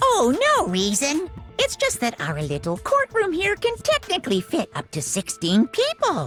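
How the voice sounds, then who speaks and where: A put-on character voice plays over clear music in the background. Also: moderate pace. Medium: game stream. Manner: cheerful, mocking.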